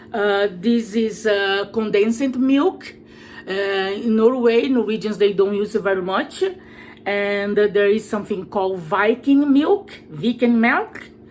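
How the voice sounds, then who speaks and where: Speaking at a fairly slow pace, a woman with a Brazilian accent uses a medium pitch and ordinary pitch variation. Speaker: cooking vlogger. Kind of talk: cooking tutorial. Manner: halting, many fillers.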